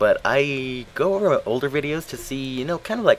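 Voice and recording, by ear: Noticeable background noise fills the recording. A man talks over it at a moderate pace.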